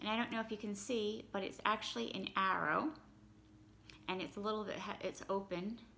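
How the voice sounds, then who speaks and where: Talking at a fairly quick pace with ordinary pitch variation, a woman leaves long, frequent pauses over light background noise. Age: 40s. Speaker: YouTuber. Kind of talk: product unboxing. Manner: casual, with fillers. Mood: pleased, mildly excited. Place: home room. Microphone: phone near.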